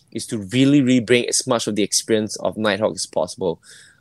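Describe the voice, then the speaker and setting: Recorded very cleanly with a silent background and a dry, close sound with no echo, a man at a medium pitch talks at a fairly quick pace with ordinary pitch variation. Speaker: bar co-owner. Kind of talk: interview.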